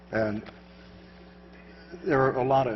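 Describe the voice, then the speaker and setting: A man speaks at a moderate pace with ordinary pitch variation. Noticeable background noise and audible room echo surround him. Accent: American. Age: 70s. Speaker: surveillance countermeasures expert. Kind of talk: conference talk with Q&A. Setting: stage with audience. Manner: halting.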